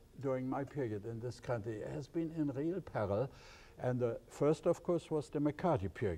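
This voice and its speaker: In a German accent, a man speaks at a medium pitch with a dark, mellow tone and ordinary pitch variation. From Germany, East Prussia. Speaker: professor of ethics. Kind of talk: interview.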